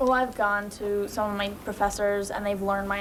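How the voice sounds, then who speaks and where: With an American accent, a woman speaks at medium pitch and a moderate pace, with audible room echo around her. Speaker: college student, high school alumna. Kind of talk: panel discussion.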